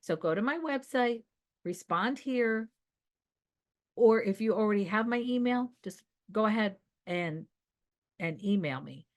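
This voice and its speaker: Speaking at a fairly slow pace with long, frequent pauses, a woman uses lively intonation and an animated tone at medium pitch. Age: 60s. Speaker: video coach. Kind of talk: casual vlog address to viewers.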